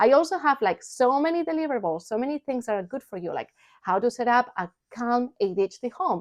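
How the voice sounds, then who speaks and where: A woman's high-pitched, animated voice with lively intonation, at a fairly quick pace, in a dry, close sound with no echo. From Spain. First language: Spanish. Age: 40s. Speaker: parent coach and vlogger. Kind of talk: personal vlog talk; sales pitch.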